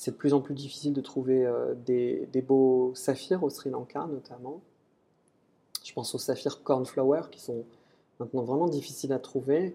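A man speaks with long, frequent pauses and big swings in loudness. His intonation stays fairly even. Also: medium pitch for a man, fairly slow pace. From western France, Nantes. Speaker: gemologist. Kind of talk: interview. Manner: halting.

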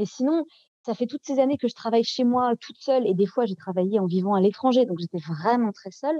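Speaking at a fairly quick pace, a woman with a fairly high pitch and a dark, mellow tone uses lively intonation and big swings in loudness, in a dry, close sound with no echo. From France, Nantes. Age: 30s. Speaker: novelist and translator. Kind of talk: interview. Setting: podcast interview. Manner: halting, many hesitations.

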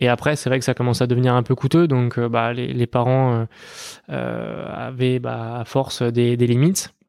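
Delivery is monotone and flat, moving at a fairly slow pace. The recording is very clean, with a silent background. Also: man, medium pitch for a man. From western France, Les Sables d'Olonne. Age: 20s. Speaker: racing driver. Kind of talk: interview.

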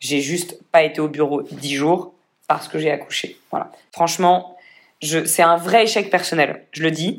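Her pitch fairly low, a woman speaks at a fairly slow pace with ordinary pitch variation. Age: 30s. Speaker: entrepreneur. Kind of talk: casual chat.

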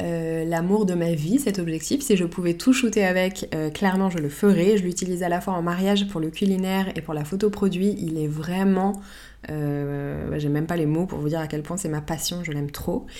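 Her voice is a plain, everyday voice, a woman's at a fairly low pitch with ordinary pitch variation. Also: moderate pace. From Paris, France. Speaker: podcast host, photographer. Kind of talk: solo podcast monologue, answering listener questions.

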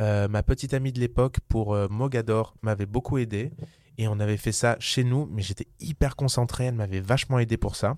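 Speaking at a moderate pace, a man keeps a medium pitch and fairly even intonation. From southern France, Vaucluse. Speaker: musical theatre actor and producer. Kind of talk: casual interview. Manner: hesitant, many fillers and repetitions.

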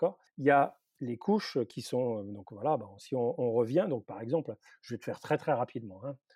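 The sound is dry and close, with no echo. A man with a dark, mellow tone talks at a moderate pace. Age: 50s. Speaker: university professor in robotics. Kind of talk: interview.

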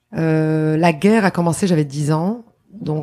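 In a very clean recording with a silent background, a woman speaks with a dark, mellow tone, a very deep, low pitch and ordinary pitch variation. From Lebanon. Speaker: public relations consultant and speaker. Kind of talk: interview. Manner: halting.

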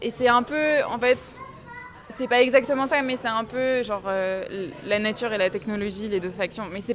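Crowd noise fills the background and the room echo is audible. The speech moves at a fairly slow pace with ordinary pitch variation. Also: woman. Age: 20s. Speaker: book lover guest. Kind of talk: casual chat.

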